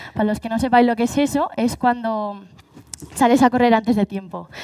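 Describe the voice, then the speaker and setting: At a moderate pace, a woman talks in an ordinary speaking voice, fairly high in pitch with ordinary pitch variation. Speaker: paralympic athlete and speaker. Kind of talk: live talk.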